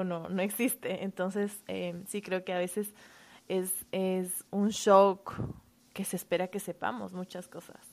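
A woman speaks in a plain, everyday voice at medium pitch. Her pace is fairly slow, and the recording is very clean with a silent background. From Quito, Ecuador. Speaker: first grade teacher. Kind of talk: casual interview.

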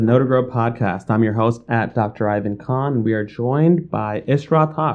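With an American accent, a man uses an ordinary speaking voice, lively intonation and a moderate pace. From New York City, Bangladeshi family. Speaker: podcast host, education CEO. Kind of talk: interview.

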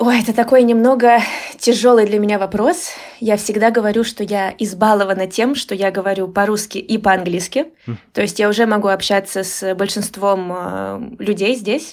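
A woman with an ordinary speaking voice at a medium pitch, fairly even intonation and a moderate pace. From Moscow region, Russia. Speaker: Russian language teacher. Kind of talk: casual interview.

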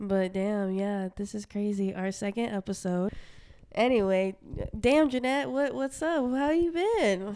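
In an American accent, a woman with a normal speaking voice talks at a fairly slow pace, her medium pitch carried by lively intonation. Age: 20s. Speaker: podcast co-host. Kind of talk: casual chat.

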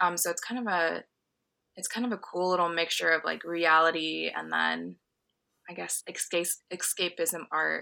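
In a very clean recording with a silent background, a woman talks at a moderate pace with long, frequent pauses. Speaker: guest, publisher and creator. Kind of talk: casual interview.

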